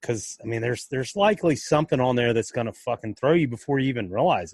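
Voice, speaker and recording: Somewhat breathy and with lively intonation, a man talks at a very fast pace in a dry, close sound with no echo. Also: medium pitch for a man. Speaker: podcast host. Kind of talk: casual podcast conversation. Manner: casual, upbeat, profane.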